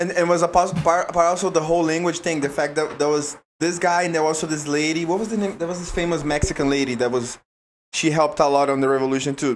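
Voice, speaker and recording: A man with a Brazilian accent talks at a very fast pace, with a fairly high pitch and fairly even intonation. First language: Portuguese. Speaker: jiu-jitsu athlete. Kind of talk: casual chat.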